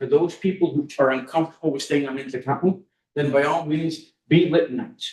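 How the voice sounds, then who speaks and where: His pitch rises and falls in very wide swings while the man keeps a moderate pace. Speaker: community member. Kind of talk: community meeting remarks.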